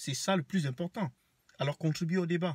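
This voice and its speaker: Lively intonation runs through this man's speech. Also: dry, close sound with no echo. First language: Banen (speaking French). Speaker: vlogger. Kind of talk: rant to camera. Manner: animated.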